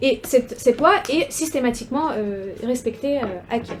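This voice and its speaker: Over noticeable background noise, a woman talks at a high pitch with a Russian accent. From Ukraine, Russian-speaking city. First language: Russian (speaking French). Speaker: researcher, doctoral student. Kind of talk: academic seminar talk. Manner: halting, many hesitations and repetitions.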